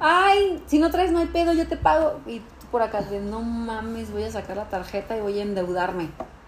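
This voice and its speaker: Talking at a fairly quick pace, a woman has a fairly high pitch with very wide pitch swings. Noticeable background noise is present. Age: 40s. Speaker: podcast co-host. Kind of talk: casual chat. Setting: dinner at a friend's home.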